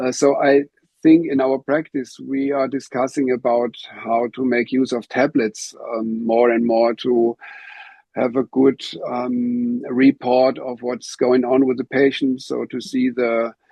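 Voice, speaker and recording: A man's monotone, flat delivery at a fairly slow pace, with music in the background. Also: medium pitch for a man. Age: 60s. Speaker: physiotherapy instructor. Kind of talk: interview. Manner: halting.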